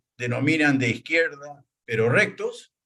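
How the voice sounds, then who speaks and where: A man is speaking. His pace is very slow. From Peru, Chincha (southern coast). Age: 70s. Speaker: farmer and former regional governor. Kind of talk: interview. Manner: hesitant, many fillers.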